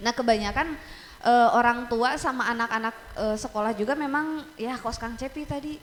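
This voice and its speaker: Pitch high with ordinary variation, a woman talks at a moderate pace. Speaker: teacher and metalcore scream vocalist. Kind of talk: casual chat. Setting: studio.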